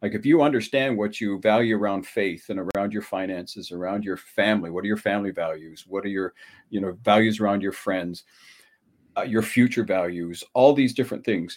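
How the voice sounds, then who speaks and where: A normal speaking voice, a man's, fairly low in pitch, with ordinary pitch variation and a fairly quick pace. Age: 60s. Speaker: relationship coach. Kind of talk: interview. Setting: video call.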